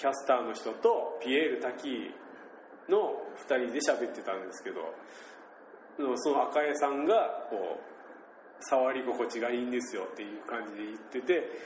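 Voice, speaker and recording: Amid audible room echo and noticeable background noise, a man with a Nagasaki accent speaks with big swings in loudness. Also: fairly slow pace. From Shimabara, Nagasaki, Japan. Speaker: podcast host. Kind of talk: casual chat.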